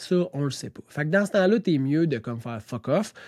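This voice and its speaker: Dry and close with no echo, a man's fairly high voice with a Quebec accent sounds animated, with lively intonation. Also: very clean recording, silent background. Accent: Québécois French. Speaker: real estate broker. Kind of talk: casual podcast monologue.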